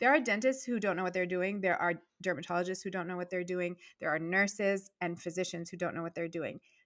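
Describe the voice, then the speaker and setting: The speech moves at a very fast pace with ordinary pitch variation on a very clean recording with a silent background. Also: woman, medium pitch for a woman. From Virginia, US, Persian family. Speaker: dentist and entrepreneur guest. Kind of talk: casual interview chat. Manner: warm, effusive.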